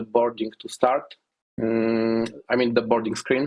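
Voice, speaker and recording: This man's voice sits at a medium pitch, with a non-native accent and a monotone, flat delivery. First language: not English. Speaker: software developer. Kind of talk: interview. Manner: halting, many fillers.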